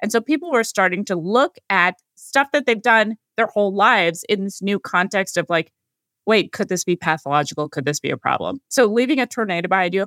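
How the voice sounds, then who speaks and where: A woman's plain, everyday voice with an American accent, at a medium pitch with lively intonation and a fairly quick pace, in a very clean recording with a silent background and a dry, close sound with no echo. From California. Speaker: psychiatrist. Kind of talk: interview.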